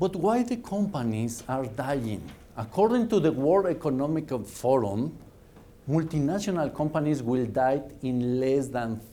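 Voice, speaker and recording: Fairly high-pitched man in a Mexican accent, dark, mellow tone, lively intonation, fairly slow pace and audible room echo. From Mexico. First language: Spanish. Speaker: business speaker. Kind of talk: lecture. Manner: animated.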